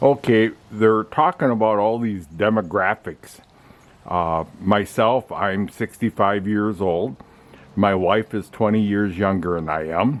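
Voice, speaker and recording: At a fairly slow pace, a man speaks with a fairly low pitch. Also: ordinary pitch variation. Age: 60s. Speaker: car owner vlogger. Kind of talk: casual review monologue. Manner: halting, many fillers.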